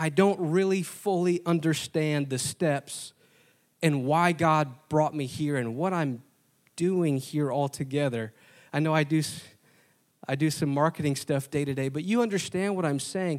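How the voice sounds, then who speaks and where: A man with an American accent talks at a moderate pace in a plain, everyday voice, fairly high in pitch with ordinary variation. The recording is very clean, with a silent background. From Wisconsin, US Upper Midwest. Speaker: preacher, Bible college marketing director. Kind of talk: sermon. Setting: college chapel with congregation.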